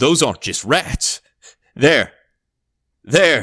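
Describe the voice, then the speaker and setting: A man performs in a put-on character voice. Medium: read story.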